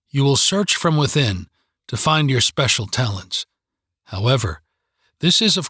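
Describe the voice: Plain reading aloud with lively intonation comes through over a quiet background.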